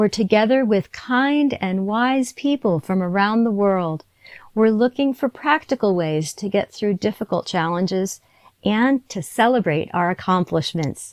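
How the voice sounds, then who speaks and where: In a dry, close recording with no echo and a quiet background, a woman with an ordinary speaking voice and medium pitch talks at a fairly slow pace with lively intonation. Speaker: podcast host, fitness trainer. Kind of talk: podcast intro.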